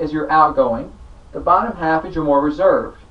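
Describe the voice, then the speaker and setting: A man talking at a fairly quick pace with very wide pitch swings, amid noticeable background noise. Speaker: sales trainer. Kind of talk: training talk. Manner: changes pace and lowers voice for effect.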